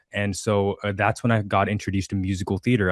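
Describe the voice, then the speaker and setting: Very fast and monotone, a man with a New Jersey accent talks at a fairly low pitch in a dry, close sound with no echo and a quiet background. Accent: American, New Jersey. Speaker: singer-songwriter and actor. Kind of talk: interview. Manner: halting, many fillers.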